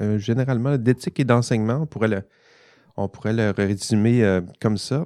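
In a Saguenay–Lac-Saint-Jean accent, a man speaks with a dark, mellow tone and ordinary pitch variation, in a dry, close sound with no echo over a quiet background. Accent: Saguenay-Lac-Saint-Jean Quebec French. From Quebec, Saguenay-Lac-Saint-Jean. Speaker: podcast host, ethics professor. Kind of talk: casual panel discussion.

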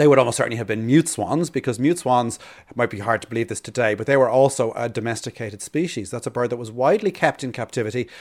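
Speaking very fast with hardly any pauses, a man with an Irish accent uses a medium pitch, ordinary pitch variation and big swings in loudness on a very clean recording with a silent background. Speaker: birdwatching expert and podcast co-host. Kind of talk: casual educational chat. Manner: halting, frequent repetitions.

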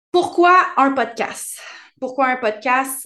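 Very slowly and with ordinary pitch variation, a woman talks against a quiet background. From Quebec, Bois-Francs region. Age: 30s. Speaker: relationship coach and podcast host. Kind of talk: solo podcast monologue.

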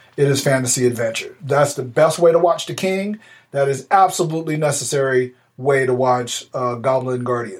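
Pitched fairly high with ordinary variation, a man with an unremarkable speaking voice talks at a moderate pace. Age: 40s. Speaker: podcast co-host, navy veteran. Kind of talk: casual chat.

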